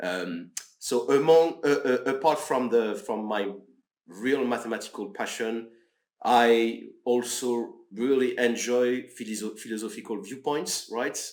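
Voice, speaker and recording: A man's medium pitch with ordinary pitch variation, in a French accent, at a fairly slow pace. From France. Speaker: research officer, mathematician. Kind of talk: podcast interview. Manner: halting.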